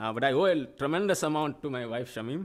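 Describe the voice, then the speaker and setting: A man with a Telugu accent in a very clean recording with a silent background. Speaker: professor. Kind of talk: acceptance speech. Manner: halting.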